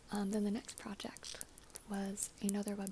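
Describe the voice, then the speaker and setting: Against noticeable background noise, a soft-spoken woman talks at a medium pitch. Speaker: ASMR creator and actress. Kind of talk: casual talk to camera. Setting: studio.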